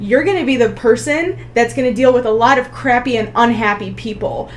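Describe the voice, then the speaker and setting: A woman keeps her intonation fairly even while audible room echo and noticeable background noise surround her. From US, child of Polish immigrants. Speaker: nuclear pharmacist. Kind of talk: casual interview chat.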